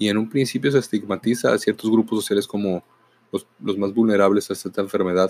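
A man with a normal speaking voice and fairly low pitch talks at a fairly quick pace with fairly even intonation, in a dry, close sound with no echo. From northern Mexico, Mexicali, Baja California. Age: 40s. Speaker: podcaster and teacher. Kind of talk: reflective monologue.

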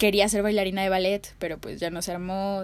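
A woman talks at a medium pitch, recorded very cleanly against a silent background. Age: 20s. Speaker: podcast host, sociology student. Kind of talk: casual solo podcast monologue. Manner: animated.

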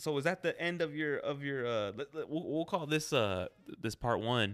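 A man with an unremarkable speaking voice talks at a moderate pace, using lively intonation. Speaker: podcast host. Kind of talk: casual chat, interview.

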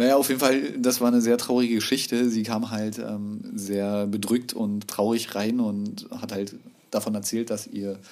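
A man with a fairly low pitch talks at a fairly slow pace in a normal speaking voice. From Berlin (Hellersdorf). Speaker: tattoo artist. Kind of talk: casual chat.

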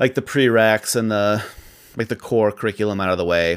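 At a fairly quick pace, a man with a Midwestern American accent speaks at a fairly low pitch with ordinary pitch variation. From Iowa, US Midwest. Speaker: podcast co-host. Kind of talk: casual chat.

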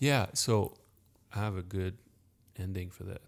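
A soft-spoken voice at a moderate pace holds a monotone, flat intonation on a very clean recording with a silent background. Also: man. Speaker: podcast co-host and meditation teacher. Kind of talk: casual chat. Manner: soft-spoken, quiet.

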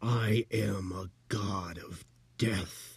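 In a put-on character voice, a man speaks with a fairly low pitch, raspy and hissing. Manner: hissing, menacing.

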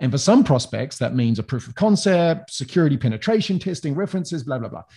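Somewhat breathy, a man with an American accent talks at a very fast pace in a dark, mellow tone with lively intonation. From New Zealand. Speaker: sales consultant. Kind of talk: interview.

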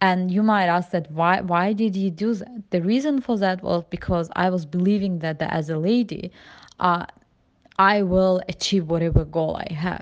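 A woman with a non-native accent, medium pitch, ordinary pitch variation and a moderate pace. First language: not English. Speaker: immigrant sharing personal story. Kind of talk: personal testimony. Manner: halting, many fillers.

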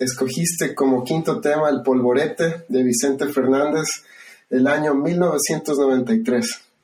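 This is a man with an ordinary speaking voice, pitched fairly high. His loudness stays very even, and his pitch varies in an ordinary way. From Ecuador. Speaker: podcast host. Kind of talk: casual interview about favorite songs.

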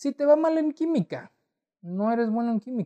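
A man's dark, mellow voice with lively intonation and a northern Mexican accent. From Torreón, northern Mexico. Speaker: podcast host. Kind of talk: solo personal storytelling. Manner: casual, many fillers.

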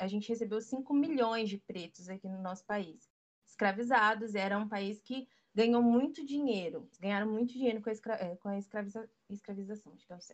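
A woman in an ordinary speaking voice, fairly high in pitch, with ordinary pitch variation, a moderate pace and big swings in loudness. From Brazil, urban periphery. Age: 20s. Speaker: photographer and stylist. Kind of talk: casual chat.

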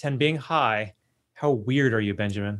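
A man speaks with an American accent. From US West Coast, California. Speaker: podcast host. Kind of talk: interview conversation. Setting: remote call.

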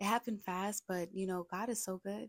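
A woman's medium-pitched voice with fairly even intonation, dry and close with no echo, on a very clean recording with a silent background. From Brooklyn, New York. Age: 20s. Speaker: podcaster. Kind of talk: casual monologue.

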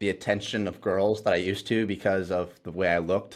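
Speaking in a Midwestern US accent, a man has a very deep, low pitch and fairly even intonation. The recording is very clean, with a silent background. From Ohio. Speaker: fitness trainer. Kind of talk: casual chat.

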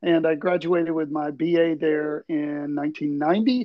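Very slowly, a man with an American accent speaks at a fairly high pitch. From Tuscaloosa, Alabama, US South. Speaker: communication professor. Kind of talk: interview.

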